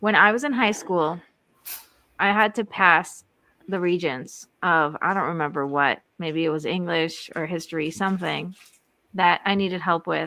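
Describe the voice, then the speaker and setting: A woman at a moderate pace, with ordinary pitch variation and a bright, sharp tone, on a very clean recording with a silent background. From outside the US. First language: not English. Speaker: marriage coach and podcast host. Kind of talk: live podcast conversation. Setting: live stream. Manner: animated.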